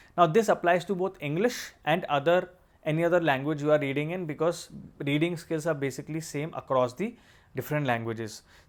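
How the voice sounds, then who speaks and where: In a very clean recording with a silent background, a man with an Indian accent speaks fairly quickly at a fairly high pitch with ordinary pitch variation. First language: Hindi. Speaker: exam coach and civil servant. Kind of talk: tutorial.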